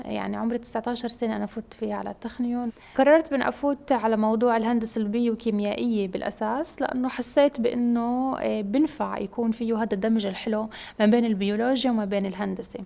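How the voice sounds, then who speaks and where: A woman with a dark, mellow tone and a fairly high pitch talks at a fairly quick pace with hardly any pauses. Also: fairly even intonation. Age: 20s. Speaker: PhD student in biomedical engineering. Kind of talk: interview testimony. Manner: hesitant, many fillers.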